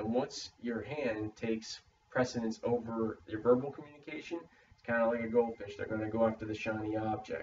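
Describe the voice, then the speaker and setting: Noticeable background noise sits under a man's medium-pitched voice. He talks fairly quickly with fairly even intonation and big swings in loudness. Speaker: student in a public speaking course. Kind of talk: spoken peer critique for a class assignment. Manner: stammers; uses many fillers like uh.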